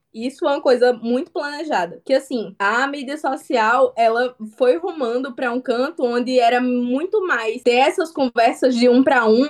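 Someone with a northeastern Brazilian accent speaks at a moderate pace. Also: woman. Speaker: comic artist. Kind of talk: interview.

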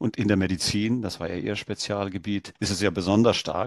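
A man with a plain, everyday voice speaks at a fairly quick pace in a fairly low pitch, the sound dry and close with no echo. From India. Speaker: engineer, founder and outgoing chair of a skeptics society. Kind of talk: interview.

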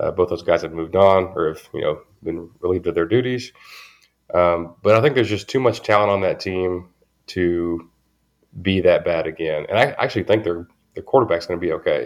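With a Southern US accent, a man talks at a fairly quick pace. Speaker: sports podcast host. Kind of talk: casual chat.

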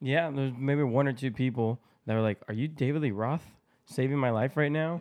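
A man with a plain, everyday voice, medium in pitch, at a moderate pace, with ordinary pitch variation and very even loudness. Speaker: co-host. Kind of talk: casual chat.

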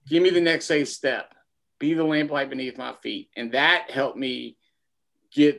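A man speaks at a moderate pace with a fairly high pitch and lively intonation. The recording is very clean, with a silent background. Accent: Kentucky. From Kentucky, Lexington. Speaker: former teacher and school principal, small business owner. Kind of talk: casual interview.

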